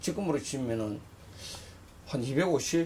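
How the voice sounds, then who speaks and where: Lively intonation at a very slow pace, over light background noise. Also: man. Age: 60s. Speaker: retired pro boxer and boxing gym owner. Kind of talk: interview. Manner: halting. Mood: nostalgic, animated storytelling. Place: office.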